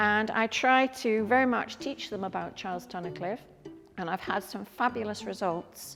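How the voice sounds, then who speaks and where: Over music in the background, a woman talks at medium pitch and a moderate pace with ordinary pitch variation. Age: 70s. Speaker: artist and teacher. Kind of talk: museum talk. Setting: museum.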